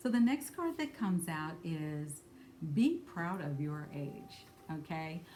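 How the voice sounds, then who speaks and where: A woman with a fairly low pitch at a fairly slow pace, over noticeable background noise. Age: 60s. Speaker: spiritual card reader. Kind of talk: card reading talk to camera. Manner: casual with frequent fillers.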